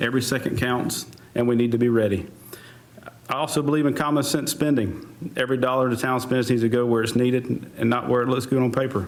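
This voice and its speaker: Over noticeable background noise, a man with an American accent speaks at a fairly quick pace, his medium pitch held in a monotone, flat intonation. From US South, North Carolina. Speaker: fire chief, town council candidate. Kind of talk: candidate forum opening statement.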